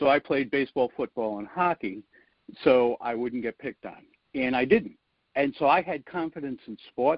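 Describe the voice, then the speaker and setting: A man speaks with a Rhode Island accent at a medium pitch. His intonation is lively and his pace moderate. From US Northeast, Rhode Island (Providence). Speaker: public speaking coach. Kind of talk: podcast interview.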